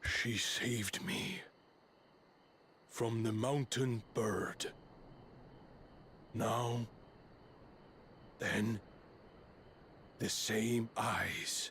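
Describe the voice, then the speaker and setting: A man puts on a raspy character voice at a medium pitch. He goes very slowly, with long, frequent pauses. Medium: video game. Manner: measured, solemn.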